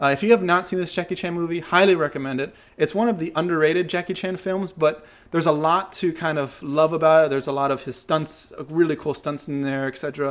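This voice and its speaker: In a very clean recording with a silent background, a man with an American accent uses a plain, everyday voice at a fairly high pitch, with ordinary pitch variation and a fairly quick pace. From United States. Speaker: movement and martial arts teacher. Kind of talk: casual Q&A monologue. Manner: relaxed, many fillers.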